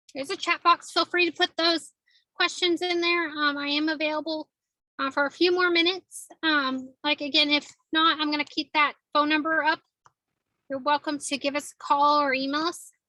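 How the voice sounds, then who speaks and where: A woman's high-pitched, raised and projected voice, bright and sharp in tone, with flat, monotone intonation. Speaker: presenter on a state savings program. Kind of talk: webinar presentation. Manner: fast.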